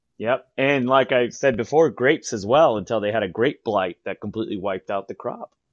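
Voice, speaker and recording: In an American accent, a man speaks at a medium pitch and a moderate pace with ordinary pitch variation. The sound is dry and close with no echo, over a quiet background. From San Diego, California. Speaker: historian and tour guide. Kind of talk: storytelling interview.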